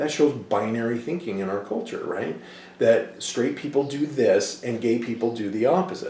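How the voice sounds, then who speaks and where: Against noticeable background noise and audible room echo, a man of medium pitch speaks at a moderate pace with lively intonation. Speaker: college instructor. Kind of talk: lecture. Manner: animated, speaks with hands.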